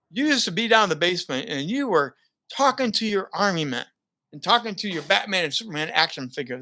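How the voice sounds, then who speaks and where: A man speaks in a raised, projected voice, high-pitched with a bright, sharp tone and very wide pitch swings. He talks very fast on a very clean recording with a silent background. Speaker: broadcaster and former pastor. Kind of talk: interview answer. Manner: stutters, paced speech.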